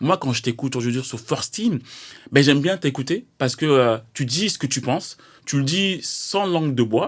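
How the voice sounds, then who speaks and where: A man speaks at a moderate pace in an unremarkable speaking voice, his pitch fairly high. The recording is very clean, with a silent background. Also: lively intonation. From Paris. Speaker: podcast host, former basketball player. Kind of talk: interview.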